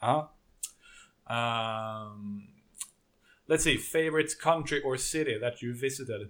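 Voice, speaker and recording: A man with a Swedish accent speaks at a very slow pace, with long, frequent pauses. His pitch varies in an ordinary way. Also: medium pitch for a man. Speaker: podcast host and interviewer. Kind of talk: interview.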